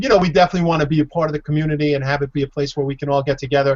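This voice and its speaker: A man's fairly high-pitched voice comes across somewhat breathy. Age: 50s. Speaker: video podcast co-host. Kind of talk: casual chat.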